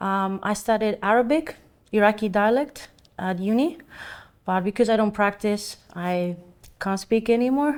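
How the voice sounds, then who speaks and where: In a Greek accent, a woman talks at a moderate pace with medium pitch and ordinary pitch variation. The recording is very clean, with a silent background. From Greece (island of Samos). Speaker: painter and art teacher. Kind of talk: oral history interview.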